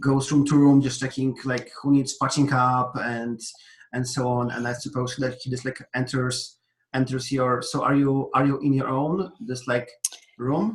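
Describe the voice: Audible room echo surrounds the speaker. He is a man whose pitch moves little. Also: medium pitch for a man, moderate pace.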